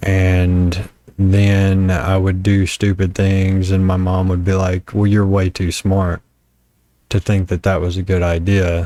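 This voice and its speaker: The speaker has a strong Southern US accent and a monotone, flat intonation. Loudness stays very even throughout. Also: man, very deep, low pitch for a man. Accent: deep Southern US. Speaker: vlogger. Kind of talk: personal reflection monologue. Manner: halting, repeated starts.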